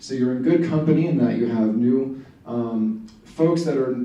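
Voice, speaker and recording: Noticeable background noise and audible room echo surround the recording. A man talks at a moderate pace with ordinary pitch variation. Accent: American. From Philadelphia area, US. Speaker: environmental activist. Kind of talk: presentation to community group.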